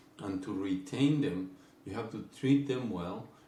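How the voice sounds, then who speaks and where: Audible room echo around speech at a moderate pace with ordinary pitch variation. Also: man. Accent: Spanish. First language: Spanish. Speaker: company executive. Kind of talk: business presentation. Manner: halting, frequent fillers.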